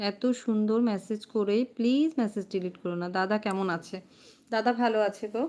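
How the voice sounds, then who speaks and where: Pitch varies in an ordinary way within a dark, mellow tone. The background is silent on this very clean recording. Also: woman, fairly high pitch for a woman. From West Bengal, Hooghly district (Serampore). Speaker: comedian and livestreamer. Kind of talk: casual livestream chat reading comments.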